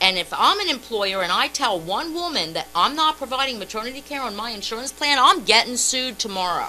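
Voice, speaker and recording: Music plays in the background as a woman talks at a fairly quick pace with hardly any pauses. Her high pitch moves through very wide swings. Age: 50s. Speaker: radio co-host. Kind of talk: heated debate. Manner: animated.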